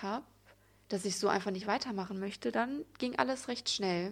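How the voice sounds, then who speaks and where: A woman's fairly high voice, its pitch varying in an ordinary way, sits in a very clean recording with a silent background. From Germany, Sauerland (Altena). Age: 20s. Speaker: podcaster, spiritual and yoga coach. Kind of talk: personal monologue podcast.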